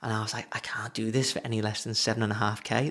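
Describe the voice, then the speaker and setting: With monotone, flat intonation, a man speaks at a fairly quick pace. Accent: Liverpool. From England, Liverpool. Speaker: web designer and business coach. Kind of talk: casual talking-head advice video. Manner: casual, chatty.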